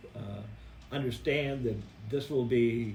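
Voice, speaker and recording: Speaking at a moderate pace with a Midwestern American accent, a man keeps a medium pitch and fairly even intonation while room echo is audible. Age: 70s. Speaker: city mayor. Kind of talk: press conference Q&A. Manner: halting, many fillers.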